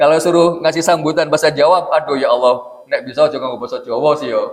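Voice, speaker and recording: Speech comes at a very fast pace in a Jakarta accent. The intonation is lively. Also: man. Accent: Jakarta-sounding Indonesian. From Central Java, Indonesia. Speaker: Islamic preacher. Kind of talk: religious lecture. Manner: casual, joking.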